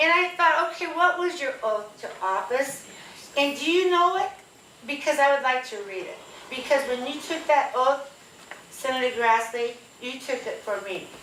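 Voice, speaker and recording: A woman with a Midwestern US accent projects a raised, high-pitched voice with lively intonation at a fairly slow pace, amid noticeable background noise and audible room echo. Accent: US Midwest. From Northwest Iowa. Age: 70s. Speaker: retired teacher, town hall attendee. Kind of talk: public question at town hall. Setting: town hall meeting with audience.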